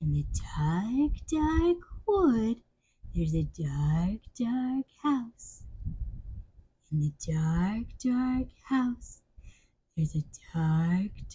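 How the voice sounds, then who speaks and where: A woman's put-on character voice, fairly high-pitched with very wide pitch swings, at a very slow pace with long, frequent pauses. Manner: spooky, dramatic.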